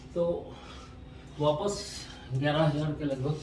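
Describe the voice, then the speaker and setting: The intonation stays fairly even, with audible room echo around the voice. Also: man. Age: 50s. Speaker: artist and vlogger. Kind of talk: casual vlog narration.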